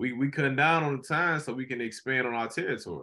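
A man speaks at a fast pace with a bright, sharp tone and ordinary pitch variation. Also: medium pitch for a man.

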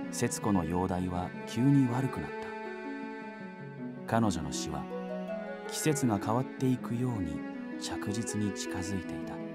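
Loud music plays in the background as a man talks at a fairly slow pace. He leaves long, frequent pauses, and the sound is dry with no echo. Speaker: voice actor. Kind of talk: audiobook literature reading. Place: studio. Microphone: studio mic.

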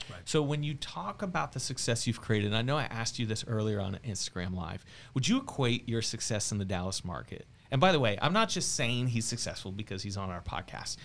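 Here a man talks very fast with lively intonation. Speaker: podcast host and real estate team leader. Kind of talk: casual interview. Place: studio. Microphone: studio mic.

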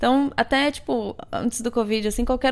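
A woman is speaking. Her pace is moderate. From Brazil. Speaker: marketing professional and yoga teacher; yoga teacher. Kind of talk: casual chat. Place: home room.

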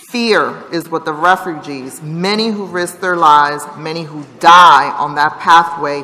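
Her pitch very deep and low, a woman speaks at a moderate pace with ordinary pitch variation. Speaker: council member. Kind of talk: formal floor remarks. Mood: earnest, serious. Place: hall. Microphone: podium.

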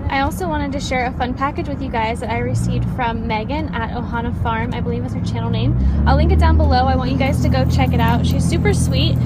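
A woman talks at a very fast pace. Loud background noise runs behind her. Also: hardly any pauses. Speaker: vlogger. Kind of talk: casual vlog chat. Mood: excited, cheerful. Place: car.

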